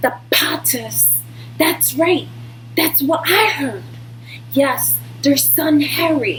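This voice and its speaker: A put-on character voice from a woman at a very slow pace, with clear background noise. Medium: read story. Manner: excited, hushed.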